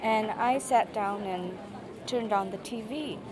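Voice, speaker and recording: With crowd noise behind her and audible room echo, a woman speaks fairly slowly in a Japanese accent at a fairly high pitch. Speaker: university student and former translator. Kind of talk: interview.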